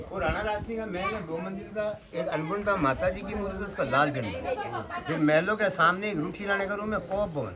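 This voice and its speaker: Over crowd noise, a man with a high-pitched voice talks at a moderate pace with ordinary pitch variation, and the room echo is audible. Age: 60s. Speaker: local storyteller and guide. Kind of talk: guided tour narration.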